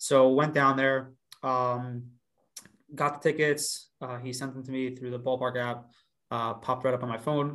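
Fairly even intonation marks a normal speaking voice from a man pitched in the medium range. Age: 20s. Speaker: magician. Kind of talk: casual chat.

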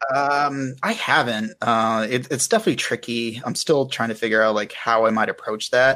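At a moderate pace and with hardly any pauses, the speaker uses a bright, sharp tone, fairly even intonation and an American accent. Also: man, medium pitch for a man. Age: 30s. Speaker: fantasy illustrator. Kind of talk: casual chat.

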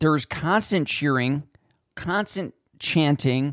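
With a Western New York accent, a man speaks using lively intonation. The sound is dry and close, with no echo. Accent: Western New York (Inland North) American. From Buffalo, New York, US. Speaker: sports podcast host. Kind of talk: solo sports commentary podcast. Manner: casual, with fillers and self-corrections.

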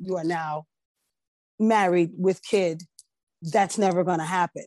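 An unremarkable speaking voice with an American accent moves at a moderate pace with ordinary pitch variation, recorded dry and close with no echo against a quiet background. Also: woman. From New Jersey. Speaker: singer and vocal coach. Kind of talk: casual interview.

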